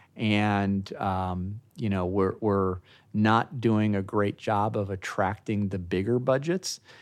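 Very slowly, a man with an American accent speaks with fairly even intonation. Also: fairly low pitch for a man, very clean recording, silent background. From US Midwest, Chicago area. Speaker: film industry association director. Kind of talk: interview. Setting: conference, in person. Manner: halting, many fillers.

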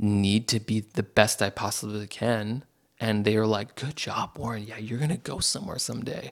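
On a very clean recording with a silent background, a man talks at a moderate pace. His is an unremarkable speaking voice, fairly low, with fairly even intonation. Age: 30s. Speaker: communication facilitator and community builder. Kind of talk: casual chat.

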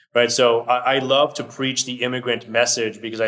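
Over noticeable background noise, a man talks at a very fast pace. His medium-pitched voice stays monotone and flat. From Brazil, then Orlando Florida. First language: Portuguese. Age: 30s. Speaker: financial advisor. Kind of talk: casual interview.

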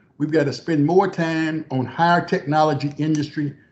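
A man with an Arkansas accent speaks at a moderate pace with a fairly high, somewhat breathy voice. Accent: Southern US (Arkansas). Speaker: former government official. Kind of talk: interview.

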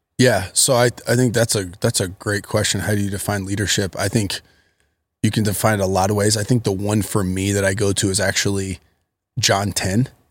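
A man with an American accent, fairly low in pitch, monotone and flat, at a fairly quick pace on a very clean recording with a silent background. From Akron, Ohio, US. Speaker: pastor. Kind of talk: casual chat.

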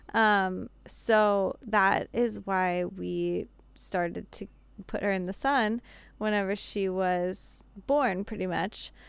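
Very slowly and with fairly even intonation, a woman with an American accent speaks at medium pitch in a very clean recording with a silent background. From Pittsburgh area, Pennsylvania. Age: 20s. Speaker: podcast guest, mother. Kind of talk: casual chat.

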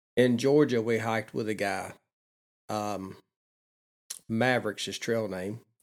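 A man talks at a fairly slow pace with long, frequent pauses. His intonation is fairly even. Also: medium pitch for a man. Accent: Southern US. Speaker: long-distance hiker guest. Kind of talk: casual interview chat. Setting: vacant house studio.

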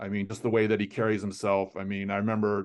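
In an American accent, a man with a fairly low pitch speaks at a moderate pace with monotone, flat intonation over a quiet background. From US, South Florida (Fort Lauderdale). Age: 50s. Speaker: soccer journalist. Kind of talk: interview.

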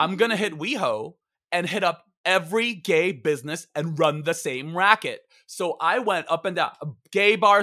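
A raised, projected voice with a bright, sharp, animated tone moves at a moderate pace with ordinary pitch variation in a very clean recording against a silent background. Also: man. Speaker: comedian and author. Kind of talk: casual chat. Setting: stage with audience. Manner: loud.

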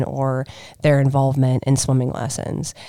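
Delivery stays flat and monotone. Words arrive at a medium tempo. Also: woman. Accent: American. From Ohio. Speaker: nonprofit executive. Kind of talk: interview. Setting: studio.

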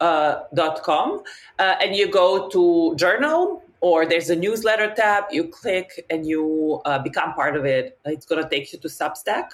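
A woman speaks with a Serbian accent. Her pitch sits fairly low. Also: ordinary pitch variation, fairly slow pace. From Serbia, Novi Sad. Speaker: map maker and designer. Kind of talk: casual interview.

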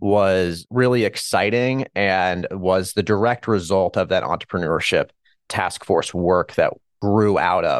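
A man with a plain, everyday voice and an American accent, fairly low in pitch with ordinary pitch variation, at a moderate pace and very even loudness, in a dry, close sound with no echo over a quiet background. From Kansas, Hutchinson. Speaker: local entrepreneurship program director. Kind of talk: interview.

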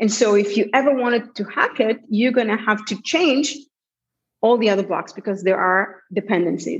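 A woman's somewhat breathy voice moves along at a moderate pace. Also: fairly high pitch for a woman, ordinary pitch variation. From Israel. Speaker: tech entrepreneur. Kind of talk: interview.

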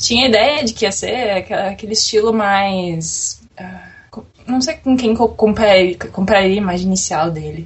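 A woman with a regional Brazilian accent talks at a fairly slow pace. She hardly pauses at all. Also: medium pitch for a woman, ordinary pitch variation. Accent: noticeable regional Brazilian. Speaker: podcast guest. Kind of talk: casual chat about anime.

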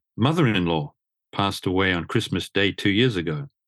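The delivery comes at a very fast pace. The sound is dry and close with no echo, in a very clean recording with a silent background. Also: man. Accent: Australian. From Australia. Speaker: motor journalist. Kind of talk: coaching conversation.

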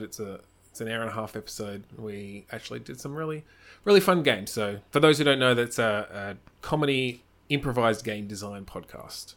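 In an Australian accent, a man speaks fairly quickly at medium pitch, with ordinary pitch variation and big swings in loudness. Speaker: improv performer. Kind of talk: casual chat.

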